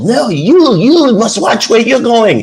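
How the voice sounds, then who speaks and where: A put-on character voice in a French accent, fairly high in pitch and fairly slow in pace. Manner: defensive.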